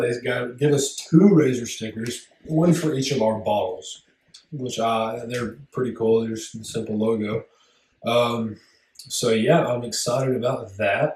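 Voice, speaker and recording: Mumbling at a fairly slow pace, a man speaks at a medium pitch with ordinary pitch variation. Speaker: podcast co-host. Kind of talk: casual chat. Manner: mumbly.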